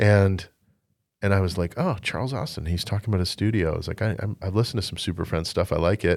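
A man with a Canadian accent speaks at a very fast pace, with fairly low pitch and ordinary pitch variation. The recording is very clean, with a silent background. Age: 40s. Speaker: folk-rock singer-songwriter. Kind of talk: casual chat. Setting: studio.

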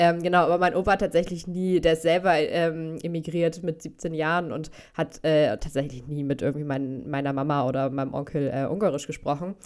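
At a fairly quick pace, a woman talks with very deep, low pitch and fairly even intonation. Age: 20s. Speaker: dog behaviour consultant in training. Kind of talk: casual chat.

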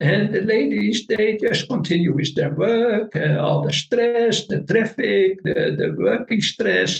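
A man with a Dutch accent speaks at a very slow pace, with very even loudness and hardly any pauses. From northern Netherlands. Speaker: meditation teacher. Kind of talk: interview.

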